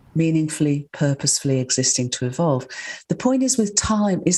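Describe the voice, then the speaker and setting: This woman speaks with a very deep, low pitch and a dark, mellow tone, somewhat breathy, her pitch swinging very widely. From northern England. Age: 70s. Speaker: scientist and author. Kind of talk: interview.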